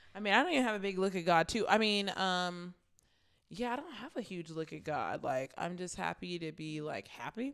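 A woman at a medium pitch, an ordinary speaking voice with lively intonation and a fairly quick pace. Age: 20s. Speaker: podcast co-host. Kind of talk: casual chat.

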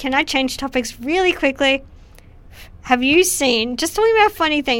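Her pitch high and her intonation lively, a woman speaks at a moderate pace. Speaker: filmmaker. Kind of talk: casual interview chat. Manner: quiet, soft-spoken.

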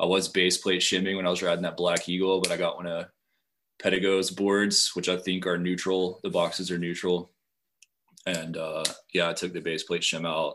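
A man with an American accent speaks at a moderate pace. His pitch is very deep and low, and his intonation is monotone and flat. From Appalachian western Virginia. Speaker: foiler, guest. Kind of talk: casual chat.

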